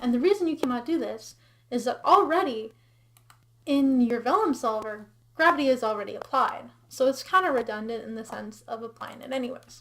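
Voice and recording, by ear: A woman speaks at a fairly quick pace in a fairly high pitch, with a fairly bright tone and lively intonation.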